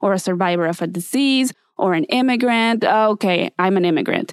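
A woman talks with a Spanish accent. The sound is dry and close with no echo, on a very clean recording with a silent background. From Mexico City. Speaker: podcast host. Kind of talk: scripted podcast intro monologue.

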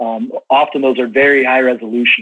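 A man speaks at a moderate pace. He has a Midwestern American accent. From US Midwest, rural Illinois. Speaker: regional sales manager in ag tech. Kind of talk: podcast interview.

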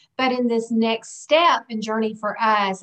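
With a Southern US accent, a woman speaks at a moderate pace in a fairly high pitch. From US South. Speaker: guest sharing personal experience. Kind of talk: casual interview chat.

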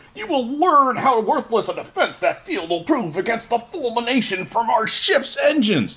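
The speaker uses a put-on character voice with a fairly high pitch. The delivery moves at a moderate pace with hardly any pauses. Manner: menacing, grandiose.

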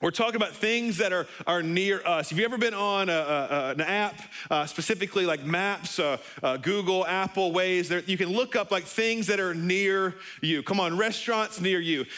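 The voice is raised and projected, with a bright, sharp tone. It holds a moderate pace and very even loudness. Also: man, high pitch for a man, ordinary pitch variation. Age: 30s. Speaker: pastor. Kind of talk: sermon. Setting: church service, also streamed online. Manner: animated.

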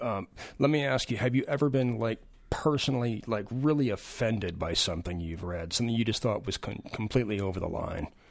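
A man's normal speaking voice at medium pitch, fairly quick in pace with ordinary pitch variation, in a very clean recording over a silent background. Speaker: novelist. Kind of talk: casual chat.

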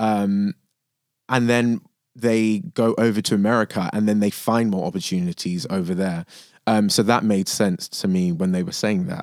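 On a very clean recording with a silent background, a man with a London accent speaks at a moderate pace, his fairly low pitch showing ordinary pitch variation. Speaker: actor. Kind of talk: casual chat. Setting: studio.

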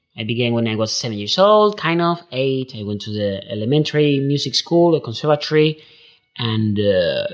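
With an Andalusian accent, a man speaks with very wide pitch swings. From southern Spain. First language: Spanish. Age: 30s. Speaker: concert pianist. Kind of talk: casual interview.

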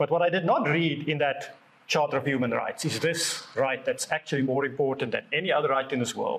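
This man's voice sits fairly high and moves at a fairly quick pace. His intonation is fairly even and his loudness very even. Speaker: preacher. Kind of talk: sermon. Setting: church service with congregation.

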